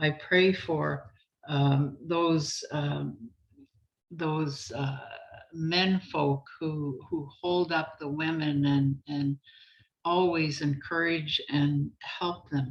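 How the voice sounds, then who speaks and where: Very slow, fairly even speech from a woman with a very deep, low voice. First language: Anishinaabemowin (Ojibwe). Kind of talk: prayer. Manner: halting.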